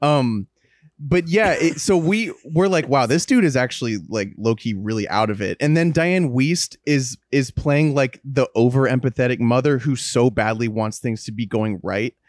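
Here a man talks at a moderate pace in a medium pitch. His intonation is lively. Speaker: podcast host. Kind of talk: casual chat. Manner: joking, animated.

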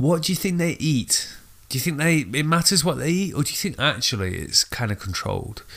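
A man's fairly high voice with vocal fry, at a fairly quick pace. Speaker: podcast co-host. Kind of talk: casual chat.

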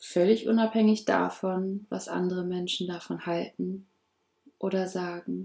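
Her tone is dark and mellow. This woman talks fairly slowly, with monotone, flat intonation. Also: medium pitch for a woman. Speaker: podcast host, personal development coach. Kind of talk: motivational monologue. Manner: warm, affirming.

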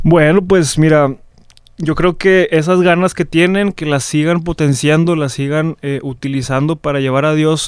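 At a moderate pace, a man with a plain, everyday voice and a fairly high pitch speaks with fairly even intonation. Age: 20s. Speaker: seminarian. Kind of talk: testimony.

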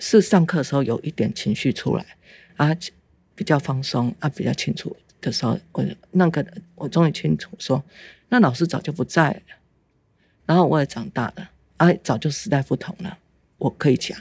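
A woman's very deep, low voice, somewhat breathy, with lively intonation, a moderate pace and long, frequent pauses. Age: 50s. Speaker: mother of abuse survivor. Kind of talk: testimony. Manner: halting.

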